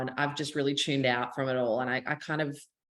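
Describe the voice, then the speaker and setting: In an Australian accent, a woman talks at a fairly quick pace with a very deep, low pitch and fairly even intonation over a quiet background. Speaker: country singer-songwriter. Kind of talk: interview.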